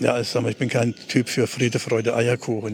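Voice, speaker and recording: A man speaks at medium pitch in a monotone, flat intonation. Noticeable background noise sits behind him. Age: 70s. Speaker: retired teacher. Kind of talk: conversational interview on a walk. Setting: outdoors, walking through city. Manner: halting, many fillers.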